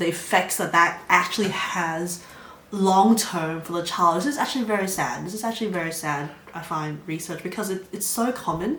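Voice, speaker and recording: Noticeable background noise and audible room echo surround this recording. A woman speaks at a fairly low pitch with ordinary pitch variation. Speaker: psychology student vlogger. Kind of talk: casual educational vlog talk. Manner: fast.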